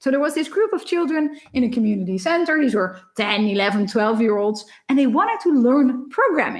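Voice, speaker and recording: With a Dutch accent, a woman speaks at a fairly quick pace in a high pitch, her voice swinging very widely. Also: hardly any pauses. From Netherlands. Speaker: professor. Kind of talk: lecture. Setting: recorded conference talk without live audience. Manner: fast.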